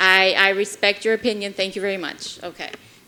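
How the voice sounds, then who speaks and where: Bright and sharp in tone, a woman's medium-pitched voice moves at a moderate pace. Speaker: mayor chairing city commission meeting. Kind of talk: public meeting debate. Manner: passionate.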